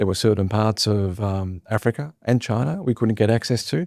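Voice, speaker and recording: Dark, mellow tones from a man with an Australian accent, fairly low in pitch with ordinary pitch variation, at a fairly quick pace on a very clean, dry, close recording with no echo and a silent background. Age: 60s. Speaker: former airline chief executive. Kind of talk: interview.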